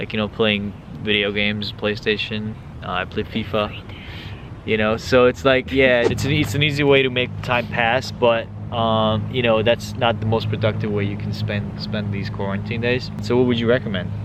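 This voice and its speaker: Noticeable background noise surrounds a man who speaks at a moderate pace. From Hungary (Budapest). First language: Hungarian. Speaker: vlogger. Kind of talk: casual chat. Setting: outdoors.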